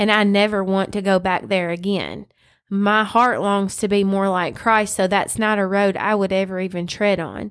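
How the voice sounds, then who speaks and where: Against a silent background in a very clean recording, a woman with a Southern US accent speaks at a moderate pace and medium pitch with monotone, flat intonation. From US South, West Tennessee. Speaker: podcast co-host. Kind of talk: casual Bible discussion. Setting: home studio.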